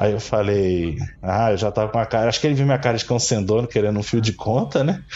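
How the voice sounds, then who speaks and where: This man talks very fast with fairly low pitch. His loudness stays very even. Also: ordinary pitch variation. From São Paulo, with childhood in Brazil's Northeast. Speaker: Quimbanda priest. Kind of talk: interview conversation.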